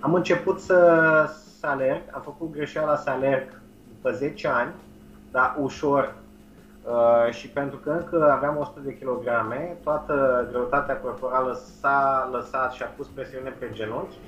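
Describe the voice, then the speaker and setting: A man's fairly high voice at a fairly slow pace, with big swings in loudness. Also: ordinary pitch variation. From Romania. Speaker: nutrition and change coach. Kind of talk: interview. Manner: halting.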